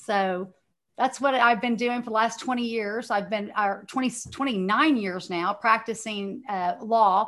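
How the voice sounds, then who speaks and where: Against a quiet background, a woman with a Texan accent and fairly high pitch speaks at a fairly slow pace with fairly even intonation. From Texas, Dallas. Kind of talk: interview, faith testimony.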